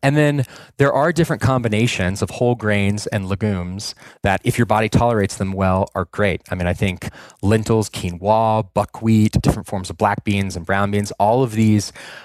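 Over a silent background in a very clean recording, a man talks at a moderate pace with a fairly low pitch and ordinary pitch variation. His unremarkable speaking voice has a dry, close sound with no echo. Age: 30s. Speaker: supplement company founder. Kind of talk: casual chat.

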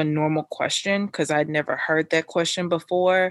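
A woman has a plain, everyday voice and a fairly low pitch with fairly even intonation. She talks at a fairly quick pace over a quiet background. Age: 30s. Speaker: mental health therapist and podcaster. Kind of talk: casual chat.

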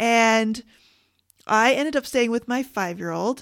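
A woman with a Canadian accent has an unremarkable speaking voice at a fairly high pitch, in a very clean recording with a silent background. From Canada. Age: 40s. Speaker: grief coach and podcast host. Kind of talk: solo podcast monologue.

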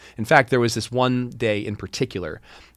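A man with a plain, everyday voice and an American accent talks at a fairly quick pace with fairly even intonation, on a very clean recording with a silent background. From US South, Hattiesburg, Mississippi. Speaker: liqueur maker and entrepreneur. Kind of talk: interview conversation. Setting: studio.

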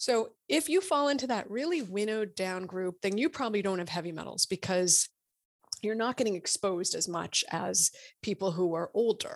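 Recorded very cleanly with a silent background and a dry, close sound with no echo, an ordinary speaking voice moves at a moderate pace with lively intonation. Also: woman, medium pitch for a woman. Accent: American. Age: 50s. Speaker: physician and author. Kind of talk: interview.

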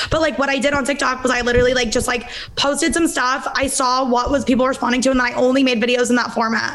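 Very fast speech with an American accent, ordinary pitch variation, audible room echo and noticeable background noise. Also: woman. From Palo Alto, California. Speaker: comedian and comedy writer. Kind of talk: casual chat. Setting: video call.

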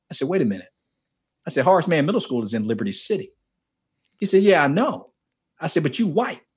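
Animated man with an American accent, fairly high pitch, vocal fry, very wide pitch swings, a very fast pace and long, frequent pauses. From US South, Miami, Florida. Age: 50s. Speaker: author and men's ministry leader. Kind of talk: casual interview chat.

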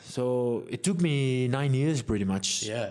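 Very slow male speech at medium pitch with ordinary pitch variation, over noticeable background noise. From Samoa (Savai'i, then Apia). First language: Samoan. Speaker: professional rugby player. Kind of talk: interview. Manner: casual, hesitant.

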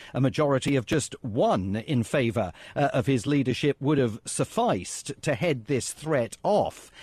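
A somewhat breathy, medium-pitched man's voice with a British accent, fairly slow pace, lively intonation and very even loudness, in a dry, close sound with no echo. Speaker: political analyst. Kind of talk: news interview. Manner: measured, many fillers.

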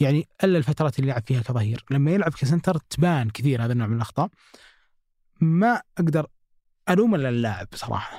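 With lively intonation and a fairly quick pace, a man speaks in a fairly high pitch and a dark, mellow, somewhat breathy tone, recorded dry and close with no echo. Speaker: football podcast host. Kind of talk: casual football analysis chat.

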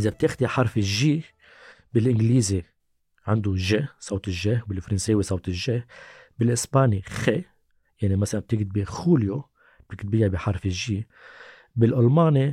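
A somewhat breathy voice with a dark, mellow tone speaks in a Lebanese accent, leaving long, frequent pauses. The sound is dry and close with no echo, and the recording is very clean with a silent background. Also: man, fairly low pitch for a man, ordinary pitch variation, moderate pace. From Lebanon. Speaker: language activist, association founder. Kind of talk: casual chat.

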